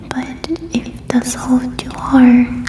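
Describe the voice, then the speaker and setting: A woman speaks over noticeable background noise. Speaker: ASMR creator. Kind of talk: ASMR personal questions game, casual talk to camera. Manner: soft-spoken, whispering.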